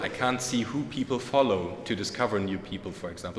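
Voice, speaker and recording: Talking at a fairly quick clip, a man is heard with audible room echo and noticeable background noise. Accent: German. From Germany. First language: German. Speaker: conference speaker. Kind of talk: conference talk. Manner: hesitant, many fillers.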